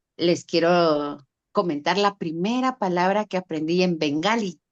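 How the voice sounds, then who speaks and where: Over a quiet background, a woman with a fairly low pitch talks at a fairly slow pace in a dry, close sound with no echo. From Guatemala, Guatemala City. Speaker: writer and cultural ambassador. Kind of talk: virtual literary talk. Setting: video call.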